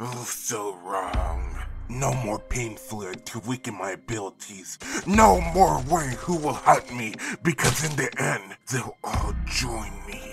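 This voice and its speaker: Clear music plays in the background as a man uses a cartoonish character voice. He talks at a medium pitch and a fairly slow pace. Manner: theatrical, gloating, menacing; bossy, angry.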